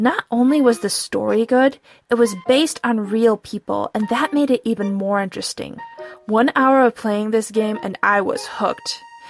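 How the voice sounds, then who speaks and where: A woman speaks with ordinary pitch variation, with music playing in the background. The sound is dry and close, with no echo. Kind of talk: casual vlog talk.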